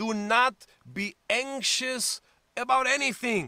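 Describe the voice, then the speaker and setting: A man with a German accent talks in a raised, projected voice with a bright, sharp tone. The background is quiet, and the sound is dry with no echo. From Germany. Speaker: pastor. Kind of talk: sermon. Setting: church. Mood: warm, encouraging. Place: home room. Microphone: webcam.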